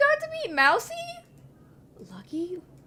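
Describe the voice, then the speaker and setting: A woman talks with noticeable background noise in the recording. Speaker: vtuber streamer. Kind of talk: casual gaming livestream chat.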